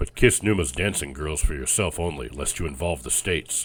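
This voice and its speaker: Doing a gruff put-on character voice, a man speaks at a very deep, low pitch with ordinary pitch variation and a fairly quick pace. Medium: read story. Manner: gruff, blunt.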